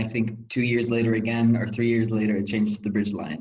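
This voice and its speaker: A man with an American accent sounds somewhat breathy, with audible room echo. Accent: American accent despite being German. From Germany. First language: German. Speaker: former volunteer counselor, student. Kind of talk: interview reflection.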